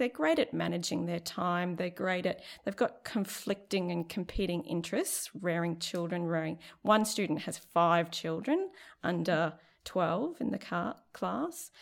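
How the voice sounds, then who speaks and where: Here a woman speaks with a fairly low pitch. Her pace is fairly slow. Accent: Australian. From Central Queensland, Australia. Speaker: nursing lecturer. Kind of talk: casual interview.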